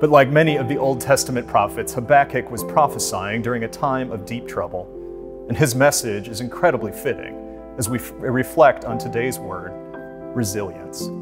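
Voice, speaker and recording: Clear music plays in the background as a man speaks with big swings in loudness. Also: moderate pace. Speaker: minister. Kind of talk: worship introduction and prayer. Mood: calm, reverent. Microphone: lapel.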